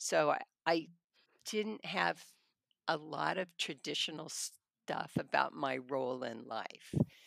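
With an American accent, a woman speaks at a very deep, low pitch and a fairly slow pace, using vocal fry and lively intonation broken by long, frequent pauses. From California Central Valley, Hanford. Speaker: trial attorney. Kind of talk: interview conversation.

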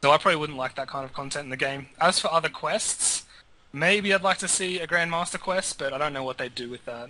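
With an Australian accent, a man talks at a very fast pace in a fairly high, bright, sharp voice, with ordinary pitch variation and big swings in loudness. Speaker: gaming podcast panelist. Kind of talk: casual chat.

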